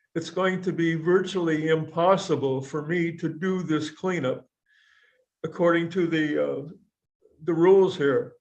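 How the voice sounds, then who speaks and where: Audible room echo surrounds a man speaking at a fairly slow pace in a high pitch, his intonation monotone and flat. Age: 80s+. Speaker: defendant in court. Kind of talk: court testimony.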